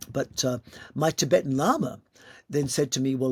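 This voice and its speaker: A man's medium-pitched, somewhat breathy voice at a moderate pace, with ordinary pitch variation and a dry, close sound free of echo. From Malta. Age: 60s. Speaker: yoga teacher. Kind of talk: interview conversation.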